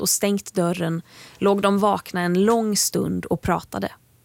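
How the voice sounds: Intonation holds fairly even. The voice is a natural reading voice.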